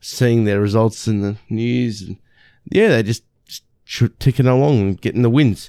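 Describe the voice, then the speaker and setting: A man speaks with an Australian accent at medium pitch and a moderate pace. His intonation is fairly even, and the sound is dry and close with no echo. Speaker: sports podcast host. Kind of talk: solo sports recap. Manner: halting.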